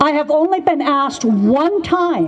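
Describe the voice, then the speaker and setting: Noticeable background noise under a woman's lively intonation. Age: 70s. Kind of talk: testimony.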